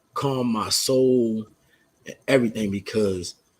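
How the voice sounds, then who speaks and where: Ordinary pitch variation at a fairly slow pace. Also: man. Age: 50s. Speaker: podcast guest sharing life story. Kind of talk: casual chat. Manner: halting.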